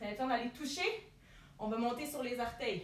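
The voice is a woman's, bright and sharp in tone. There is audible room echo. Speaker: fitness instructor. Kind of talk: workout coaching instructions. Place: home room. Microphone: camera far.

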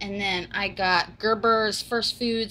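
A woman speaks at a slow pace and a medium pitch. Her tone is fairly bright.

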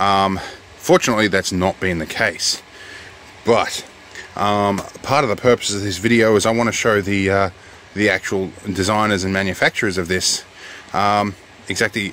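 At a moderate pace, a man speaks with fairly even intonation in a dry sound with no echo, over light background noise. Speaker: product reviewer. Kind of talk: casual vlog chat. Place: car. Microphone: phone near.

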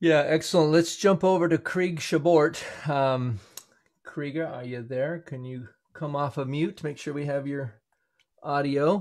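At a moderate pace, a man with an ordinary speaking voice talks at a fairly high pitch with ordinary pitch variation. His loudness swings widely. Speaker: co-host of wheelchair race livestream, wheelchair racer. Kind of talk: live event hosting and race commentary. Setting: live stream video call.

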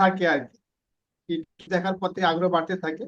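A man speaks with a high-pitched voice. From Bangladesh, Khulna district. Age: 50s. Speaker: freelancer, former NGO worker. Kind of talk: interview. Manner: halting.

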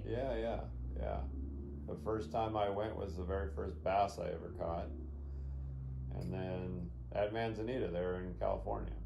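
A man speaks in a very deep, low voice with very wide pitch swings. Long, frequent pauses break up his speech over noticeable background noise. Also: moderate pace. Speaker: grandson interviewer. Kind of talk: casual interview questions. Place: home room. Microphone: phone near.

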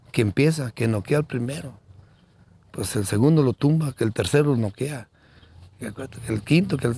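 With a dark, mellow tone that is somewhat breathy, a man speaks at medium pitch and a moderate pace with ordinary pitch variation and long, frequent pauses, on a very clean recording with a silent background. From Guanajuato, central Mexico. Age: 60s. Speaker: bull rancher. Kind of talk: interview. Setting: at his home. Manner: halting, repeats words.

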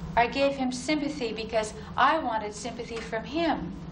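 Over noticeable background noise, a woman with a high pitch speaks at a very slow pace. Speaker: poet. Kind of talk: poetry reading. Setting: live reading in a university hall. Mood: calm, reflective. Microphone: old recording.

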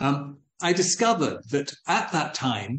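A man's voice carries a somewhat breathy quality. Audible echo from the room surrounds it. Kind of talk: lecture. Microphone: video call.

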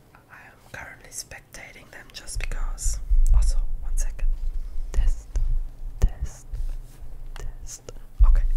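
Someone whispers at a fairly slow pace. Long pauses come often. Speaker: ASMR creator. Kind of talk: ASMR gaming whisper commentary. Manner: whispered.

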